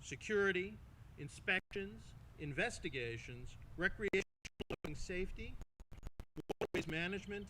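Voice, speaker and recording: A man with a Long Island accent speaks at a moderate pace in a high pitch, using a bright, sharp tone. His intonation is lively, broken by long, frequent pauses. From Long Island, New York. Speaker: master of ceremonies. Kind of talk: speaker introduction.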